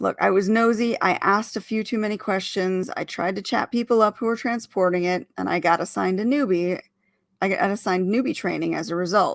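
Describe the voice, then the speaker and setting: A woman puts on a raspy character voice at a medium pitch, talking at a fairly quick pace on a very clean recording with a silent background. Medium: read story. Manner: gruff, blunt.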